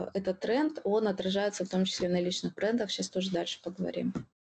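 A woman has a plain, everyday voice at a medium pitch. Her pitch varies in an ordinary way. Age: 30s. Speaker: podcast co-host, blogger producer. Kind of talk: casual chat.

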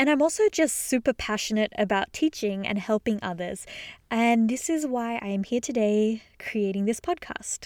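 A woman's fairly high voice with an Australian accent, a warm, enthusiastic tone, ordinary pitch variation and a moderate pace, dry and close with no echo in a very clean recording with a silent background. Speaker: podcast host and illustrator. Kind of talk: solo podcast monologue, casual and conversational. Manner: warm, enthusiastic, conversational.

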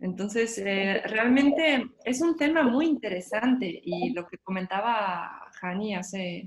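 A somewhat breathy woman's voice at medium pitch, at a very slow pace. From Mexico. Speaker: concert pianist. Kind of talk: casual chat.

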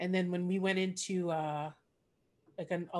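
A woman with a Canadian accent has an ordinary speaking voice at a fairly low pitch. She goes at a fairly slow pace, and her pitch varies in an ordinary way. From Montreal, Quebec. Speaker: podcast host and comedian. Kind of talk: casual interview. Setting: video call.

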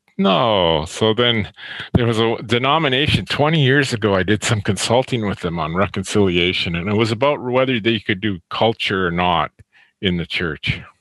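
Lively intonation from a man at a fairly low pitch, at a moderate pace. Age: 60s. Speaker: theology professor. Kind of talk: casual chat.

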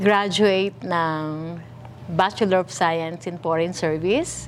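A woman speaks with a fairly low pitch. Her pitch variation is ordinary. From Philippines, Manila. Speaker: pastor. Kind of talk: testimony.

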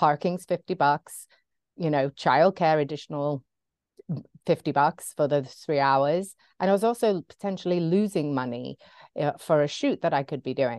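A woman with an American accent speaks at a very deep, low pitch in a dry, close recording with no echo and a quiet background. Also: ordinary pitch variation, moderate pace. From England. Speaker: photographer and business mentor. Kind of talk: interview.

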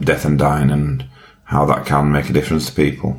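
A man with a Yorkshire accent speaks in a very deep, low pitch. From Yorkshire, England. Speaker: widower and health campaigner. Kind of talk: casual interview conversation about grief.

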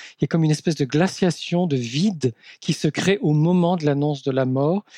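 A man speaks with a dark, mellow tone and ordinary pitch variation. The sound is dry and close, with no echo. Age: 50s. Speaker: psychoanalyst and author. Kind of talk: interview. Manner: halting.

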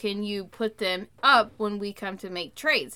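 A woman with an American accent talks at a fairly high pitch over noticeable background noise. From central Oklahoma. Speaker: podcast co-host, entrepreneur. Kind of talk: casual chat.

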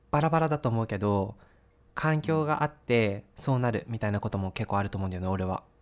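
An unremarkable speaking voice from a man, fairly quick with lively intonation, on a very clean recording with a silent background. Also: medium pitch for a man. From Japan, Sapporo (Hokkaido). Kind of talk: casual chat.

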